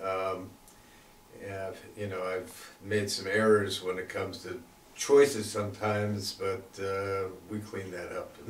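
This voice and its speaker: A man speaks with a fairly low pitch at a fairly slow pace, in a monotone, flat intonation. Noticeable background noise and audible room echo are present. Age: 60s. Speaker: weight loss program participant. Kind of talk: interview. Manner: halting, many fillers.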